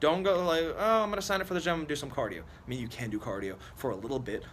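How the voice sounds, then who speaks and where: With vocal fry and very wide pitch swings, a man talks at a very fast pace in a fairly high pitch. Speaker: fitness youtuber. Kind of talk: casual vlog monologue.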